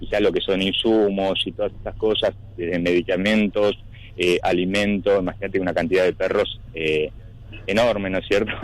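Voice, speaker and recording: Using a normal speaking voice, a man with a fairly low pitch talks at a moderate pace with fairly even intonation. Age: 50s. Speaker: animal shelter manager. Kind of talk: radio interview answer.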